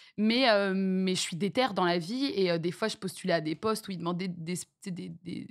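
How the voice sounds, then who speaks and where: Medium-pitched female speech with normal pitch movement, delivered at an even, moderate tempo. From France, with childhood years in Venezuela and French Guiana. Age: 30s. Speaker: streamer. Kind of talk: interview. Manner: halting.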